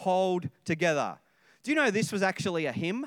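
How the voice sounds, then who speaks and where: In a very clean recording with a silent background, a man talks with an Australian accent and ordinary pitch variation. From Australia (Sydney). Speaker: senior pastor. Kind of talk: sermon. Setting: church service with congregation.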